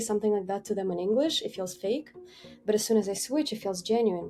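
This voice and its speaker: A woman's fairly high voice at a fairly quick pace, with music in the background. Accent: Ukrainian. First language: Ukrainian. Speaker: team member interviewee. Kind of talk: interview. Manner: halting.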